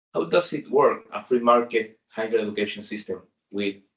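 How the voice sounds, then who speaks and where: This man has a medium pitch and speaks with a Spanish accent. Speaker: government official. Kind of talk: conference presentation. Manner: slow.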